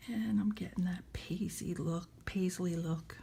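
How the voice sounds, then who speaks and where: A woman with an American accent speaks very slowly in a fairly low, dark and mellow voice, flat and monotone, with vocal fry. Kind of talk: casual app tutorial demo.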